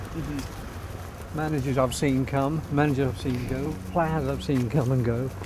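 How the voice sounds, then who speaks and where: Over noticeable background noise, a man with a Norfolk accent talks at a fairly slow pace with hardly any pauses, at a medium pitch and with ordinary pitch variation. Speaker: radio presenter and football commentator. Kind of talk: interview answer. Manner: casual, chatty.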